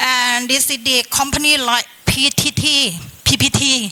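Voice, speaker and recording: A woman's raised, projected voice at a high pitch over noticeable background noise. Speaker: government climate official. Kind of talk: panel discussion. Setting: seminar panel in hotel.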